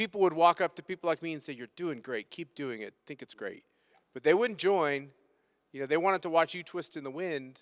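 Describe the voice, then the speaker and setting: A man with an American accent and an ordinary speaking voice talks at a fairly quick pace in a fairly high pitch, with ordinary pitch variation and big swings in loudness, recorded very cleanly against a silent background with a dry, close sound and no echo. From United States. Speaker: panel moderator. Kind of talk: panel discussion.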